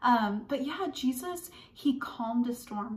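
This is a woman speaking. Her pitch variation is ordinary. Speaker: children's church teacher. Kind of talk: children's Bible lesson. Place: home room. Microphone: phone near.

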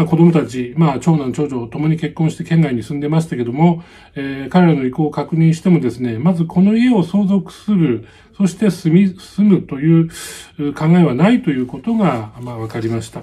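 Lively intonation marks a man speaking at a moderate pace. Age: 60s. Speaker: YouTuber. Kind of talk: vlog-style talk on real estate advice. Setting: home. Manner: many filler words, hesitant. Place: home room. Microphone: phone near.

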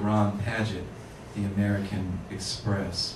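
Amid noticeable background noise and audible room echo, a man speaks very slowly. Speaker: poet reading. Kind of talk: poetry reading to a live audience, performed. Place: shop.

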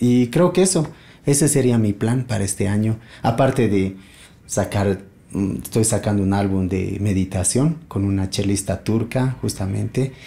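A man speaks at a fairly slow pace in a fairly low, somewhat breathy voice. His tone is dark and mellow, with ordinary pitch variation. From Bolivia, partly raised in Buenos Aires. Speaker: multi-instrumentalist musician and luthier; guest. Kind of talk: casual interview. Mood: calm, reflective. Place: home room.

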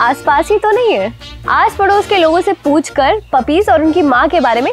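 Extremely high female voice at a fairly slow pace, dry with no echo, over faint music in the background. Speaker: presenter. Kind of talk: tutorial. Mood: warm, earnest. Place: garden.

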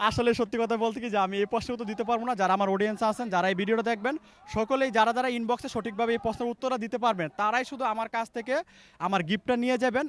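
A man with an extremely high pitch and fairly even intonation is heard on a very clean recording with a silent background and a dry, close sound with no echo. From Bangladesh, Gazipur. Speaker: TikTok creator. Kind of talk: street interview.

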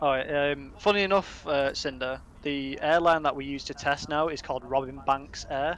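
A man's plain, everyday voice, fairly even in intonation, at a moderate pace. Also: fairly high pitch for a man. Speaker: co-developer of a flight sim app. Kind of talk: livestream Q&A. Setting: online call on a livestream.

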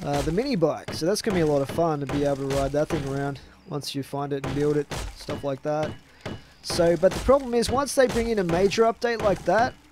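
Over noticeable background noise, a man talks at a very fast pace. The sound is dry, with no echo. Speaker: gamer streamer. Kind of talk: gameplay commentary. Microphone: headset.

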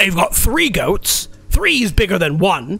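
Using a put-on character voice, a man talks at a high pitch and a fairly slow pace. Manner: muttering.

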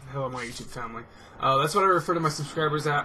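A man's voice against noticeable background noise. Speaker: gaming commentator. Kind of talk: casual vlog monologue. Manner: fast talker; lighthearted, upbeat. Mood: relaxed, friendly. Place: home room.

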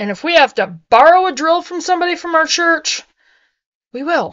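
A woman at a moderate pace, quiet background behind her. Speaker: homesteading vlogger. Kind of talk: casual vlog chat. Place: home room. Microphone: webcam.

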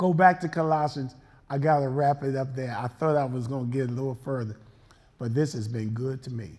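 Here a man speaks at a fairly quick pace. His pitch varies in an ordinary way. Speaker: pastor. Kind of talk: sermon; casual chat. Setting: church. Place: church.

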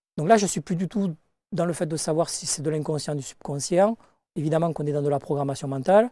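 A man talks at a very fast pace and fairly high pitch in a dark, mellow tone, with ordinary pitch variation and a dry sound with no echo against a quiet background. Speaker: life coach and hypnosis teacher; life coach, hypnosis teacher. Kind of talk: interview. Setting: studio. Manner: direct, outspoken. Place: studio. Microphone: lapel.

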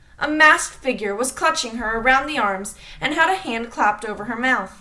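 A woman speaks in a raised, projected voice at a high pitch and a moderate pace, with ordinary pitch variation. Noticeable background noise runs beneath her. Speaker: audiobook reader. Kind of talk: reading aloud, audiobook-style narration of a Nancy Drew chapter.

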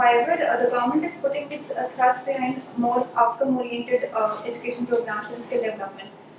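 Over noticeable background noise and audible room echo, a woman speaks at a high pitch with fairly even intonation and hardly any pauses. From India. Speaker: civil services candidate. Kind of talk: mock job interview. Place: meeting room. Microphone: camera far.

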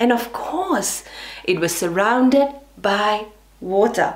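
Lively intonation at a very slow pace. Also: woman. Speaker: professional storyteller and speech and drama educator. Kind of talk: children's storytelling. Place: home room.

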